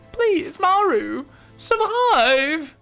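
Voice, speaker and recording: Faint music plays in the background behind an extremely high-pitched, put-on character voice. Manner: desperate, pleading.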